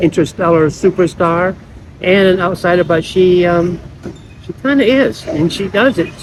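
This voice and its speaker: Amid noticeable background noise, a man with an American accent speaks at a moderate pace and high pitch, with ordinary pitch variation. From United States. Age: 60s. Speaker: vlogger. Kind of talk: casual vlog monologue. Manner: halting, with repeated false starts.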